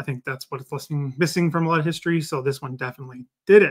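A man's voice shows ordinary pitch variation, heard over a quiet background. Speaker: book reviewer. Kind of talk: casual live stream book review. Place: home room. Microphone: webcam.

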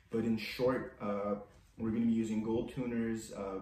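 A man's voice with fairly even intonation and audible room echo. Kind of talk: casual tutorial vlog chat. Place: workshop. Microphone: camera far.

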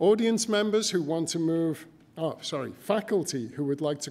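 Lively intonation marks this man's high-pitched voice, delivered at a moderate pace. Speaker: college administrator, master of ceremonies. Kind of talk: ceremonial announcements. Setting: stage with audience. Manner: formal. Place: hall. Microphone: podium.

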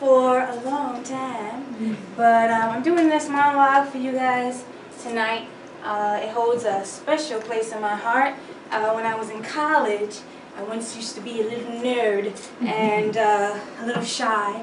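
Noticeable background noise sits behind a woman who speaks at a fairly slow pace with fairly even intonation. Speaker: actor performing a monologue. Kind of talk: stage intro and dramatic monologue. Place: stage. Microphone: camera far.

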